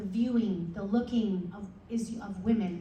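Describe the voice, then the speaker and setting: The voice has ordinary pitch variation, with audible room echo around it. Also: woman. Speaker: chaplain giving a talk. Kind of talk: presentation to a club meeting. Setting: meeting room with audience, microphone.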